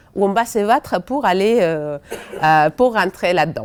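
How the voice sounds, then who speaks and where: A woman at a very slow pace, with lively intonation. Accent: Spanish. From Spain. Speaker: education researcher. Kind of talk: seminar talk. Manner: hesitant, many fillers.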